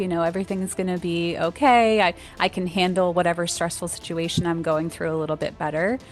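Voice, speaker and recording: With music playing behind her, a woman speaks in a fairly low voice and fairly even intonation. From Baltimore. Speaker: wellness education specialist. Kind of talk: podcast interview answer.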